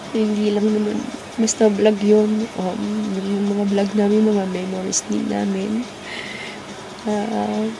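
Noticeable background noise sits behind a woman's voice. She speaks at a very slow pace with monotone, flat intonation. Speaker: vlogger. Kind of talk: casual vlog chat, emotional storytelling. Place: home room. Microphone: phone near.

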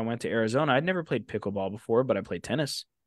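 The background is quiet, and the sound is dry with no echo. A man speaks with ordinary pitch variation. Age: 20s. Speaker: phone flipping coach. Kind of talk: casual chat. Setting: livestream. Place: home room. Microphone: studio mic.

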